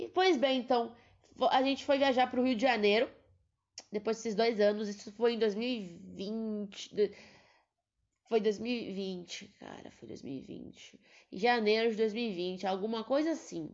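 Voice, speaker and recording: A woman speaking at a fairly slow pace, with big swings in loudness, ordinary pitch variation, and long, frequent pauses. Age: 20s. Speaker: podcaster, veterinary student. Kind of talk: casual monologue. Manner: animated.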